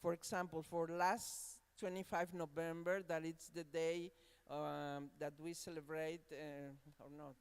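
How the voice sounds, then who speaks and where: With a Spanish accent, someone speaks rather slowly. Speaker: university academic. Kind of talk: panel discussion. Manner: halting.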